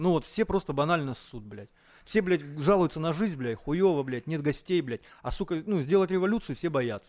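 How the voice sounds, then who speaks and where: On a very clean recording with a silent background, a man with a plain, everyday voice talks at a fairly high pitch and moderate pace with lively intonation. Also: big swings in loudness. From Moscow, Russia. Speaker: chef. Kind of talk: casual chat.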